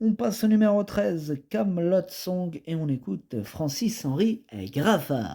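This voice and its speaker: A man speaks at a high pitch with a dark, mellow tone. His pace is very slow, and his pitch swings very widely. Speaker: horse racing tipster. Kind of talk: betting tips presentation. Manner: casual, hesitant with fillers.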